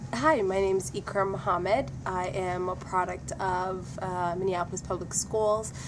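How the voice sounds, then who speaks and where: A woman at medium pitch speaks at a moderate pace with hardly any pauses and ordinary pitch variation. Noticeable background noise and audible room echo surround her. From Somalia. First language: Somali. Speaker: former student giving testimonial. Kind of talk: testimony.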